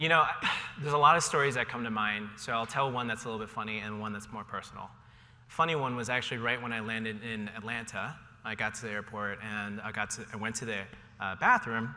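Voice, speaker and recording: A man with a General American accent talks very fast at a medium pitch, his intonation fairly even. His tone is bright and sharp, and the room echo is audible. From Ohio, US Midwest. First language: Cantonese. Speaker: panelist, tech company employee. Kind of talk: panel discussion. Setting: stage with audience.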